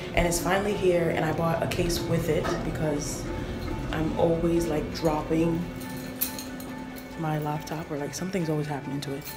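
Over clear background music, a woman talks at a moderate pace, leaving long, frequent pauses. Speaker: college student vlogger. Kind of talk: casual vlog chat. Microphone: phone near.

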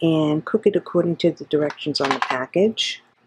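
Woman with an unremarkable speaking voice, fairly low pitch, ordinary pitch variation, moderate pace, dry sound with no echo. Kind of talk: cooking tutorial. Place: kitchen. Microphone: phone near.

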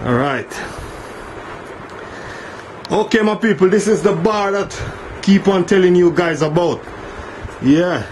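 Against light background noise, a man with a high-pitched voice talks at a very slow pace with ordinary pitch variation. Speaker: bar tour guide. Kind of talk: casual vlog chat. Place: tunnel cave. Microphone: phone near.

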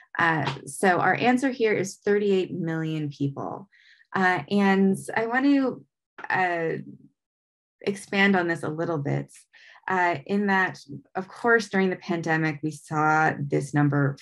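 A woman's fairly low pitch and lively intonation at a very slow pace over a quiet background. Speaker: nonprofit outreach director, presenter. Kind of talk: educational presentation. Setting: video call. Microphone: webcam.

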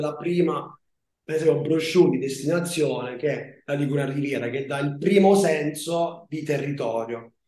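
This man's dark, mellow tone moves at a fairly quick pace, with audible room echo around it. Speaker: tourism destination manager, former master's student. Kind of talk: online presentation to prospective students. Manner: halting, with fillers and restarts. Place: home room. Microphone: video call.

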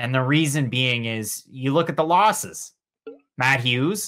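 A bright, sharp-toned man at a fairly slow pace, with ordinary pitch variation and a quiet background. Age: 20s. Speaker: MMA podcast co-host. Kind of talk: casual chat. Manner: animated. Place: home room.

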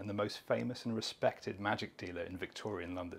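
At a fairly quick pace, a man talks in a somewhat breathy voice with a fairly low pitch. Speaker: tour guide. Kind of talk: scripted tour-guide narration, pointing out landmarks on location. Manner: measured, clear storytelling pace with gentle enthusiasm.

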